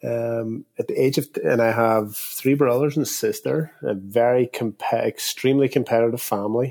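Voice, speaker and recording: With an Irish accent, a man at medium pitch talks at a moderate pace with fairly even intonation and hardly any pauses, in a dry, close sound with no echo. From Northern Ireland, Derry. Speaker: soccer coach. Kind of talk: casual chat.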